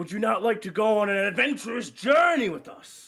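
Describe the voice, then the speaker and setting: A man in a put-on character voice, high-pitched, with lively intonation, a fairly quick pace and big swings in loudness. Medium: actual play. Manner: grandiose, flowery.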